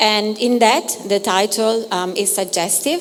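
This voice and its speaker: Speaking very slowly with an Italian accent, a woman is heard over noticeable background noise. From Italy. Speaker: curator. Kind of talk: artist talk introduction. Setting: gallery talk with audience. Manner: halting, many fillers.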